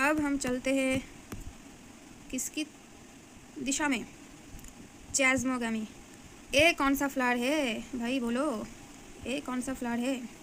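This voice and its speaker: A woman with a Bengali accent, high-pitched and monotone, flat in intonation, with long, frequent pauses. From Bengal, India. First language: Bengali (speaking Hindi). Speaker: biology teacher. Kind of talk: tutorial. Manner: halting, many fillers.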